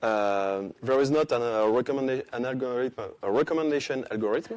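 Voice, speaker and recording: Here a man speaks with a French accent. His pace is fairly quick and his pitch variation ordinary. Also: medium pitch for a man. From France. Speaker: conference speaker, software developer. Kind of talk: conference talk. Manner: halting, many hesitations.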